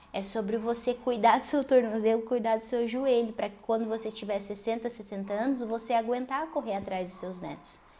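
Here is a woman with an unremarkable speaking voice, fairly high in pitch and fairly even in intonation. She keeps a moderate pace while her loudness swings widely. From Paraná, Brazil. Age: 20s. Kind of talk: solo religious lifestyle podcast monologue.

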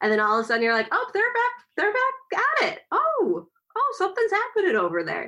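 A woman with an American accent. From Kansas City. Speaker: podcast co-host. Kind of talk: casual chat.

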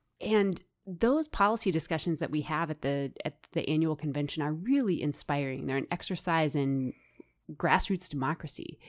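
On a very clean recording with a silent background, a woman with an American accent speaks at a moderate pace in a very deep, low pitch with ordinary pitch variation. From US Midwest, suburbs of Kansas City. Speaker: farm policy advocate. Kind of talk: interview. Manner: halting.

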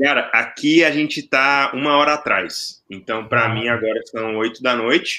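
Speaking at a moderate pace, a man with a medium pitch and a bright, sharp tone uses ordinary pitch variation. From Brazil, Brasília. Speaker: data science teacher. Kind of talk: casual chat.

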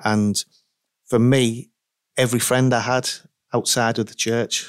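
A man talks at a fairly slow pace with long, frequent pauses and a medium pitch. His intonation stays monotone and flat, and the sound is dry and close with no echo. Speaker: pastor and ministry director. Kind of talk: podcast interview.

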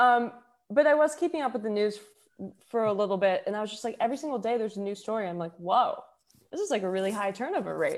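A woman talks at a very fast pace with a fairly high pitch. Her intonation is lively, and she has an American accent. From Houston, Texas. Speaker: singer-songwriter and poet. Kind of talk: casual interview chat.

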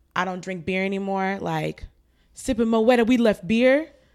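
With an American accent, a woman speaks in a plain, everyday voice at a medium pitch with ordinary pitch variation. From New Jersey, US. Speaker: podcast co-host. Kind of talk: casual chat.

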